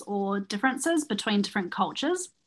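A woman with a New Zealand accent speaks at a very fast pace. Her tone is bright and sharp, at a medium pitch. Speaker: podcast co-host. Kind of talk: casual chat; news reading.

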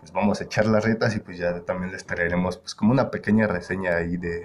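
A man talks fairly quickly in a very deep, low voice, monotone and flat. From Mexico, Querétaro. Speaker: podcast host. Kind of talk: casual chat. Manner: halting.

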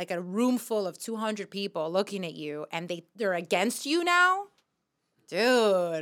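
A bright, sharp tone in an American accent, ordinary pitch variation, on a very clean recording with a silent background. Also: woman. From New York. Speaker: comedian. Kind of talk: casual chat.

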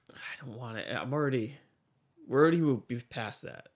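A man talks at a moderate pace with vocal fry. His intonation is lively. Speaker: podcast host. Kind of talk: casual chat.

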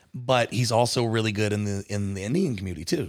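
Here is a man with an unremarkable speaking voice and a fairly low pitch. He talks at a fairly quick pace. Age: 30s. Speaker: wedding and nightclub DJ, podcast host. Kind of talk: casual chat.

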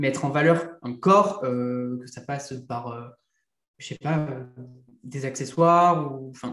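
At a very slow pace, a somewhat breathy man speaks with ordinary pitch variation amid audible room echo. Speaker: content creator. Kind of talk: casual interview. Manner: casual, hesitant.

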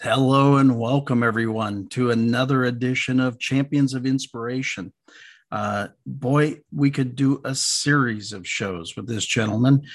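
A man with an ordinary speaking voice talks at medium pitch and a fairly slow pace, keeping his intonation fairly even. The recording is very clean, with a silent background. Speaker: podcast host. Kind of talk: casual interview.

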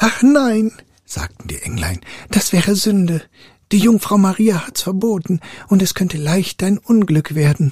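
A man's high-pitched voice at a fairly slow pace. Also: ordinary pitch variation, dry, close sound with no echo. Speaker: storyteller reading fairy tales aloud. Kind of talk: fairy tale storytelling. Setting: live audio room on Clubhouse. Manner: calm, soothing, slow-paced bedtime reading.

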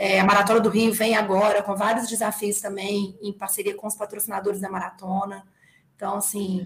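The woman talks at a fairly quick pace with a medium pitch. Her intonation is monotone and flat. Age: 40s. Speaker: running app executive and race organizer. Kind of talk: casual interview.

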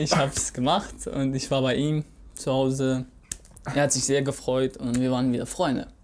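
A man's medium-pitched voice with an Arabic accent, monotone and flat in intonation, at a moderate pace. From Syria (Raqqa). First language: Arabic (speaking German). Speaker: podcast co-host. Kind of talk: casual chat. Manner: halting.

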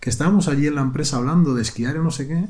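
Ordinary pitch variation marks a man's somewhat breathy voice with a dark, mellow tone. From Spain. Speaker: podcast co-host. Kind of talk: casual chat.

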